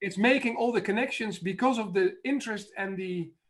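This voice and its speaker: His pitch is high. The man's pitch variation is ordinary. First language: not English. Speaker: life coach. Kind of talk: casual chat. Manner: halting, many fillers.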